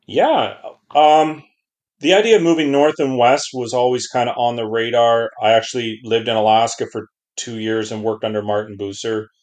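A man with a Canadian accent and an unremarkable speaking voice, medium pitch, ordinary pitch variation and a moderate pace, over a quiet background. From Southern Ontario, Canada. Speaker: sled dog racer. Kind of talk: interview.

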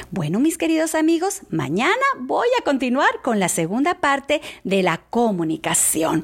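A woman with a high pitch and an animated tone speaks fairly slowly, her pitch swinging very widely while her loudness stays very even. Noticeable background noise is present. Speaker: church devotional speaker. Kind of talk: devotional talk.

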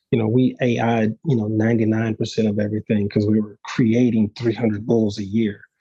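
With a Texan accent and a dark, mellow tone, a man speaks at a moderate pace and medium pitch in a flat monotone. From South Texas. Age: 50s. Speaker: bucking bull breeder. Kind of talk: casual interview. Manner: halting, many fillers.

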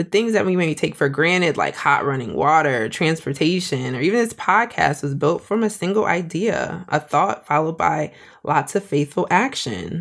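Speaking with an American accent at a moderate pace, a woman with a fairly low pitch uses lively intonation and keeps her loudness very even. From Springfield, Massachusetts. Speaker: podcast host and small business owner. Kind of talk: solo podcast monologue.

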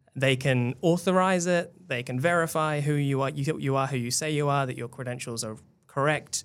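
A man with a New Zealand accent, fairly high pitch, ordinary pitch variation and a moderate pace. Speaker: tech reporter. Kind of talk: casual chat.

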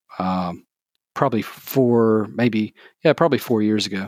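A speaker with a Southern US accent talks at a moderate pace on a very clean recording with a silent background. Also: man. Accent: Southern US (Georgia). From US South, Georgia (south of Atlanta). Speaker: small business owner, maker of sewn shooting gear. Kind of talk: casual interview.

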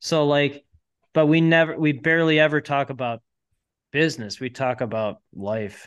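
A man talks in a normal speaking voice at a fairly high pitch and a moderate pace. His pitch varies an ordinary amount against a quiet background. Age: 40s. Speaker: entrepreneur. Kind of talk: casual chat.

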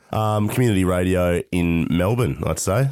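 A man with an Australian accent, very deep and low in pitch, with ordinary pitch variation at a fairly slow pace. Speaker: radio host and aspiring stand-up comic. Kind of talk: casual chat. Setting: remote call.

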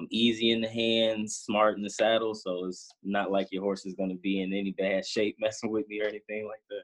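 Fairly quick and with hardly any pauses, a man talks at a fairly low pitch in a flat, monotone way. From Chicago, South Side (South Shore). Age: 20s. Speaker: cowboy and bull rider. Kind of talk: interview.

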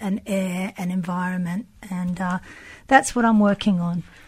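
A somewhat breathy woman talks at a moderate pace. The recording is very clean, with a silent background. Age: 50s. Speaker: sculptor. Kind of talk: casual chat.

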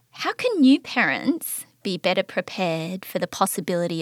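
Speaking at a moderate pace in an Australian accent, a woman sounds dry and close with no echo on a very clean recording with a silent background. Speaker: podcast host. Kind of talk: interview.

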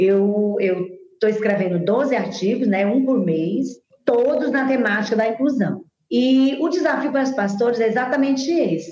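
Here is a plain, everyday voice. Its intonation is lively and its pace moderate. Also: woman. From Brazil, Teresina, Piauí. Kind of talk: interview.

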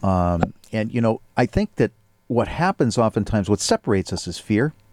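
In a very clean recording with a silent background, a man speaks at a fairly low pitch. He has an ordinary speaking voice, a moderate pace and ordinary pitch variation. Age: 50s. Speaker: radio host. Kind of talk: interview. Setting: studio.

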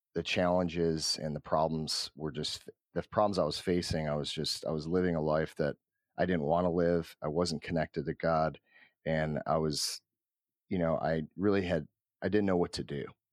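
Over a very clean recording with a silent background, a man with a Midwestern US accent speaks in a very deep, low pitch and a monotone, flat intonation, with long, frequent pauses. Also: moderate pace. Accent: US Midwest. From Cleveland, Ohio. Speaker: company founder. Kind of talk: interview. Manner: halting.

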